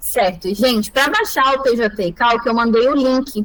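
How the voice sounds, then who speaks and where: A woman's fairly high voice, a normal speaking voice with fairly even intonation. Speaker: lawyer teaching calculation software. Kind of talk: online tutorial.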